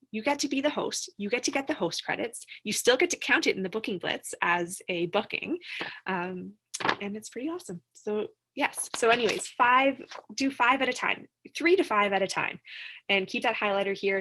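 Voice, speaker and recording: A woman speaks with a bright, sharp tone and an animated delivery full of very wide pitch swings. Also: fairly high pitch for a woman. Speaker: direct sales team leader. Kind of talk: live-streamed training session. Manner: fast.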